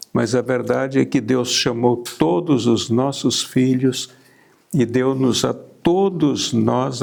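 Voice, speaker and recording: Speaking at a very slow pace, a man uses a medium pitch with vocal fry and ordinary pitch variation. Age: 80s+. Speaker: missionary pastor. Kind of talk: testimony.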